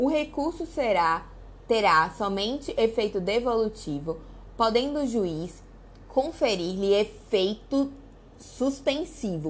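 A woman speaks with a Brazilian accent and lively intonation. Audible room echo surrounds her voice. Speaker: law teacher. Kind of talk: lecture reading statutes aloud.

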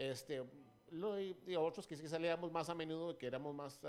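He has a normal speaking voice, pitched fairly high for a man. This man talks at a moderate pace. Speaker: radio DJ and former record label promoter. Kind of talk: casual interview chat.

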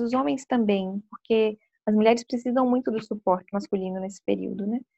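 Fairly quick delivery, somewhat breathy, with pitch moving in an ordinary way. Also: woman. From Espírito Santo, Brazil (Vitória). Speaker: clinical psychologist. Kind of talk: interview talk.

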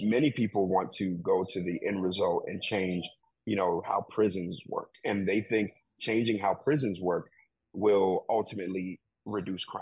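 In an American accent, a man with a normal speaking voice talks at a moderate pace, his pitch fairly low and his intonation fairly even. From Chicago, US Midwest. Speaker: community organization director. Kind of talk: interview.

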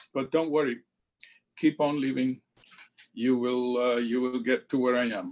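With long, frequent pauses, a man speaks in a monotone, flat way at a medium pitch. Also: moderate pace. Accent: French. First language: French. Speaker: church leader giving a presentation. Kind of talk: lecture.

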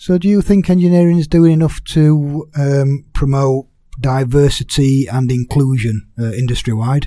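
This man's tone is dark and mellow. His pitch sits fairly high and his pace is fairly slow. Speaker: podcast host. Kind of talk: interview podcast.

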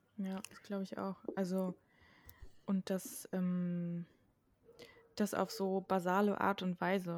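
A woman speaks very slowly, with long, frequent pauses. Her intonation is monotone and flat, yet her loudness swings widely. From western Germany near the Dutch border. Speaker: podcast co-host. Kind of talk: casual discussion.

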